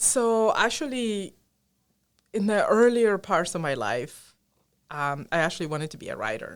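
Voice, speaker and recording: With a Spanish accent, a woman speaks at a moderate pace and medium pitch with very wide pitch swings and long, frequent pauses, in a very clean recording with a silent background. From Colombia. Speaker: engineering professor. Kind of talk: podcast interview.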